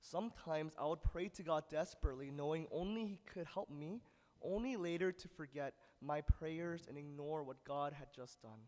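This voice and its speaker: This man has a fairly high pitch and an ordinary speaking voice, talking at a fairly slow pace with ordinary pitch variation and big swings in loudness. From United States (immigrated from Korea at age four). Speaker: preacher. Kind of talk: sermon. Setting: church service. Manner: casual with fillers.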